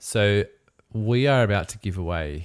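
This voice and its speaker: With an Australian accent, this man talks with lively intonation and vocal fry, captured in a very clean recording against a silent background. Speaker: podcast host, wedding photographer. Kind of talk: casual chat.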